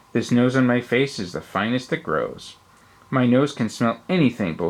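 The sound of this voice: An unforced reading voice carries a fairly even intonation.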